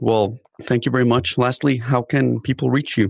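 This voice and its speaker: At a moderate pace, a man talks in a normal speaking voice with ordinary pitch variation, the sound dry and close with no echo. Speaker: podcast host. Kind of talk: interview, scripted intro.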